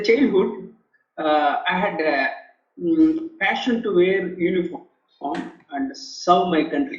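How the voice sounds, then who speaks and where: A man talks at a very slow pace, with long, frequent pauses. His pitch swings very widely. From India. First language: Telugu. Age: 50s. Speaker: author and leadership professor, air force veteran. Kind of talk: interview testimony. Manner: halting, many repetitions and fillers.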